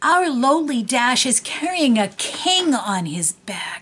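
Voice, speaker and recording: Put-on character voice from a woman, pitched high and delivered fairly slowly. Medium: read story.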